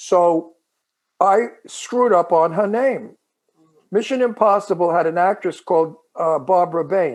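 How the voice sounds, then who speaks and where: Speaking at a fairly slow pace with long, frequent pauses, a man uses a high pitch with ordinary variation. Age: 80s+. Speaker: actor and talk show co-host. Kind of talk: podcast interview.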